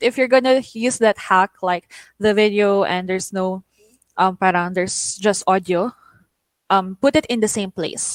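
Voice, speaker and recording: With a Filipino accent, a woman speaks at a moderate pace and medium pitch with ordinary pitch variation in a dry, close sound with no echo. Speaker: online teaching trainer. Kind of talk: tutorial. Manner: stutters; code-switching English and Tagalog.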